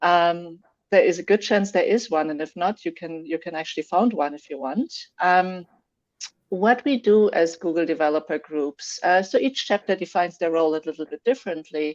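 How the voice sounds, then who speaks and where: In a dry, close sound with no echo, a woman with a German accent talks at a moderate pace and a fairly low pitch, with ordinary pitch variation and big swings in loudness. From Germany. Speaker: software developer, tech community organizer. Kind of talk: interview. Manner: hesitant, many fillers.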